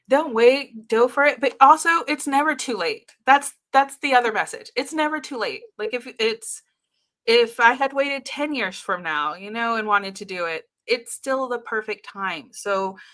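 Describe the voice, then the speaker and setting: A high-pitched woman speaks at a moderate pace with a bright, sharp tone and big swings in loudness, on a very clean recording with a silent background. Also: lively intonation. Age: 40s. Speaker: entrepreneur and speaker. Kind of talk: interview.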